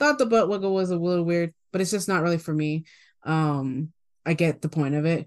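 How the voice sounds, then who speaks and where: An ordinary speaking voice moves fairly quickly, its pitch varying in an ordinary way against a quiet background. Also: woman, fairly low pitch for a woman. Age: 20s. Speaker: podcast co-host. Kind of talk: casual chat.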